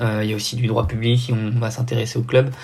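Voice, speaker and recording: A man's somewhat breathy voice at medium pitch, fairly quick, with monotone, flat intonation. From southern France. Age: 20s. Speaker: triathlete and anti-doping official. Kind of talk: podcast interview. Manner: hesitant, many fillers.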